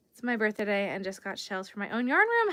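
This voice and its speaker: Her pitch rises and falls across a very wide range. She is a woman with an American accent. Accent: Long Island accent, comes out when tired. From Long Island, New York. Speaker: crochet livestreamer. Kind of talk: casual livestream chat while crocheting. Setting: live stream. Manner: chatty, reads out viewer comments.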